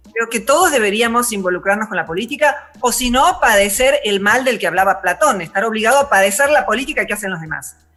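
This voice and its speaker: A woman talking very fast, lively intonation, noticeable background noise. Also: fairly high pitch for a woman, hardly any pauses. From Argentina. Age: 60s. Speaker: philosopher. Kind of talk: interview.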